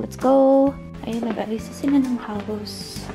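Clear music plays in the background as a woman speaks at a very slow pace. Her intonation stays fairly even. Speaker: vlogger. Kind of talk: casual vlog chat.

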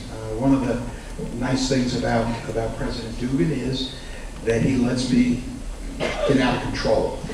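Over noticeable background noise and audible room echo, a man speaks at a moderate pace. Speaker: host introducing panel. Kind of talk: introductory remarks to audience. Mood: warm, lightly humorous. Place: hall.

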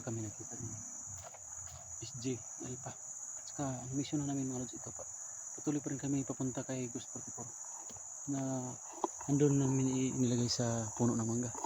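Flat, monotone speech at a moderate pace comes with noticeable background noise and audible room echo. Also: man, medium pitch for a man. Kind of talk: vlog narration.

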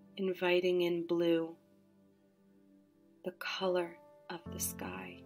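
Over music in the background, a woman talks at a very slow pace in a calm, soothing tone. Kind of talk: guided chakra meditation. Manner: slow, calm, soothing.

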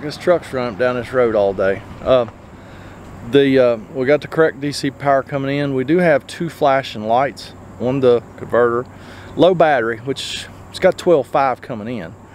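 A man with an Appalachian accent, loudness swinging widely, light background noise, and a dry sound without echo. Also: very wide pitch swings, moderate pace. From southern West Virginia. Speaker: RV repair technician and video host. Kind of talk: casual on-the-job narration. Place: open country. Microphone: phone near.

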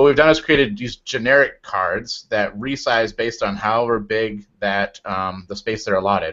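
A man with a plain, everyday voice and a medium pitch talks at a moderate pace with hardly any pauses and ordinary pitch variation. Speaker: software engineer. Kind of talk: casual tech discussion.

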